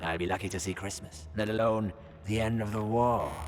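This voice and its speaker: A man speaks in a put-on character voice, fairly low in pitch with ordinary pitch variation. He goes at a fairly quick pace, with clear music in the background. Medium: video game. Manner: smug, sardonic.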